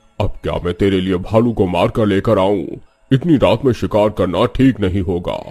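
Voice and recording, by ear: A cartoonish character voice from a man, fairly low in pitch, at a moderate pace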